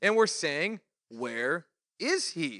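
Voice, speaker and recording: With a bright, sharp tone and very wide pitch swings, a man talks at a fairly slow pace in a dry, close sound with no echo. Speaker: pastor. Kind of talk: Bible study teaching. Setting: church. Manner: casual, conversational.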